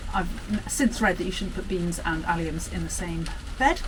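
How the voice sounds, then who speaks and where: Loud and at a very fast pace, a woman speaks with very wide pitch swings over noticeable background noise. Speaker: gardening vlogger. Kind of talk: casual vlog to camera. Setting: outdoors in the garden. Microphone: no microphone, camera mic.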